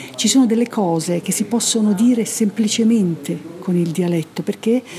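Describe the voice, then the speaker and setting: Noticeable background noise accompanies a woman's voice. She speaks at a fairly slow pace with lively intonation. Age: 60s. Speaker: stage actress. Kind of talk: interview.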